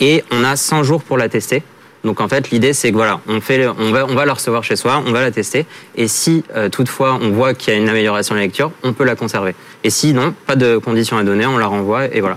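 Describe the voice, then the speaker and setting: A man talks at a fairly quick pace in a plain, everyday voice. His pitch is medium and his loudness very even. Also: ordinary pitch variation. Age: 30s. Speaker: startup founder. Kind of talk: pitch and jury Q&A.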